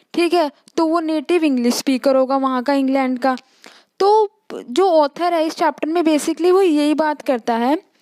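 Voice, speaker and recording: In a dry, close recording with no echo, a woman with a high pitch and a dark, mellow tone talks at a moderate pace, keeping ordinary pitch variation and very even loudness. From India. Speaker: teacher. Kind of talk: lecture. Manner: casual, explanatory.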